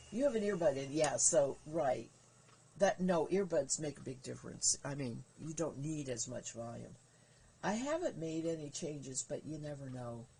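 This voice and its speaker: Her voice very deep and low, a woman speaks at a fairly slow pace with lively intonation, a somewhat breathy quality and a dark, mellow tone. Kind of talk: casual live stream chat. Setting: live stream.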